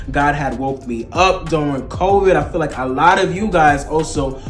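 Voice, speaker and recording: A man with a fairly high pitch speaks in an animated tone. Music plays in the background, and room echo is audible. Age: 20s. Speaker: motivational speaker. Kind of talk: casual faith vlog talk.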